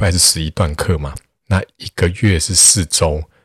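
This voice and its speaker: Very deep, low male pitch, somewhat breathy, with ordinary pitch variation and a dry, close sound with no echo. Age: 40s. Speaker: math tutor and podcaster. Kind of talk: solo podcast monologue. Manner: casual, many filler particles.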